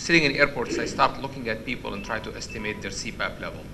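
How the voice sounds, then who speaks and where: Noticeable background noise and audible room echo accompany a man talking at a very fast pace. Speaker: sleep medicine professor. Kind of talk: lecture. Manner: halting.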